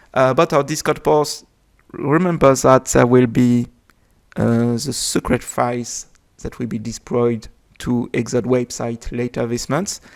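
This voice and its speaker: In a French accent, the words come out at a fairly slow pace. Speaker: game developer. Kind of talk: unscripted video explanation. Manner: hesitant, many filler sounds.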